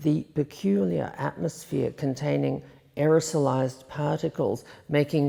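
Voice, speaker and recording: A woman's very deep, low voice with a dark, mellow tone, vocal fry, a fairly slow pace and an Australian accent. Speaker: poet. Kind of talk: poetry reading.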